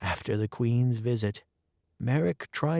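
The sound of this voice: An unforced reading voice with ordinary pitch variation. Behind it, the background is quiet.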